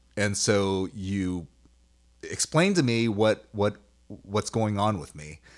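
A plain, everyday voice with ordinary pitch variation comes through on a very clean recording with a silent background. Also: man. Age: 40s. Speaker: podcast host and karate instructor. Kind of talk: casual chat.

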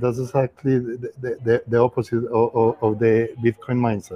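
A man with a Spanish accent talks at a medium pitch and a fairly slow pace, with hardly any pauses. His intonation stays monotone and flat. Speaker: former government official. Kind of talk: casual chat. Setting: video call.

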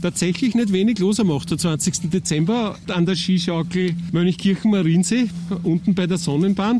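Through noticeable background noise, a man talks at a moderate pace with a high pitch, ordinary pitch variation and very even loudness. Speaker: podcast host and journalist. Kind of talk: casual interview chat; scripted narration.

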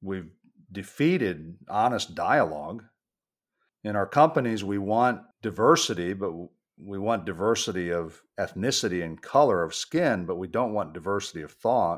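A man with an unremarkable speaking voice talks at a moderate pace and a fairly low pitch, with big swings in loudness. The recording is very clean, with a silent background. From United States, Puerto Rican father and Kentucky mother. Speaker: cultural communications consultant and author. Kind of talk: interview.

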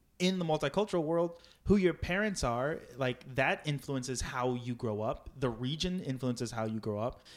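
A man with an ordinary speaking voice talks at a moderate pace and medium pitch, with lively intonation. The recording is very clean, with a silent background. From Virginia, US. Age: 20s. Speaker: improv comedian. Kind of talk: casual interview chat.

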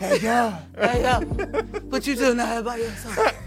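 A put-on character voice, breathy and fairly high-pitched, moves at a fairly slow pace over clear background music. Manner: creepy, ominous.

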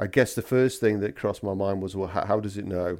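A man's very deep, low voice in a monotone, flat intonation, on a very clean recording with a silent background. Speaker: podcast host, security company director. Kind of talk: solo podcast monologue. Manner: relaxed, laid-back.

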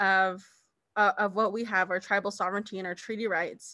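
Over a quiet background, a woman with an American accent talks at a fairly quick pace in a bright, sharp tone, her medium pitch held to fairly even intonation. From Navajo Nation, US Southwest. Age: 20s. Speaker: political candidate and public health professional. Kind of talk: interview.

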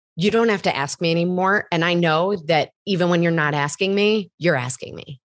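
A woman with a plain, everyday voice at fairly low pitch, moderate pace with hardly any pauses and ordinary pitch variation, in a dry, close sound with no echo and a quiet background. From US Midwest. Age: 30s. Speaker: health coach. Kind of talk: casual interview chat.

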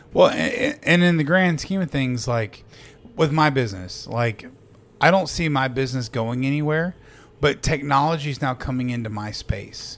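Here is a man with an ordinary speaking voice, pitched fairly high. He keeps a moderate pace and ordinary pitch variation. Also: very clean recording, silent background. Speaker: podcast host. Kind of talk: casual chat. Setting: studio.

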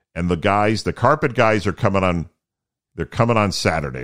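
A man with a resonant, fairly low voice speaks at a moderate pace on a very clean recording with a silent background. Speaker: podcast host with low vision, former broadcaster. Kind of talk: solo podcast monologue. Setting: home studio. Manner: casual, conversational.

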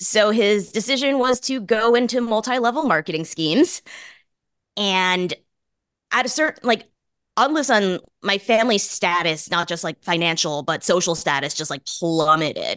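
Over a quiet background, a woman with an American accent speaks at a moderate pace, her pitch swinging very widely. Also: medium pitch for a woman. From US Northeast, Boston. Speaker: journalist and author. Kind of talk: casual interview chat.

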